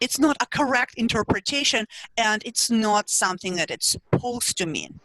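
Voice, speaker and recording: Her tone bright and sharp, a woman with a Russian accent speaks with ordinary pitch variation. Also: fairly high pitch for a woman, moderate pace, dry, close sound with no echo. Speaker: psychology professor and researcher. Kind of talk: interview.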